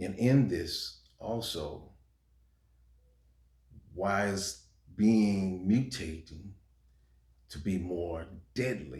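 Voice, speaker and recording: Somewhat breathy speech moves at a very slow pace with long, frequent pauses, lively intonation and big swings in loudness. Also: man, fairly low pitch for a man. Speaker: preacher, religious video maker. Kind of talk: sermon, urgent message to camera.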